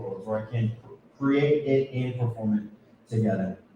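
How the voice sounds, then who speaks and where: The voice sounds somewhat breathy, with a dark, mellow tone and lively intonation. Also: man. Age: 30s. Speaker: tap dancer and choreographer. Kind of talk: casual chat.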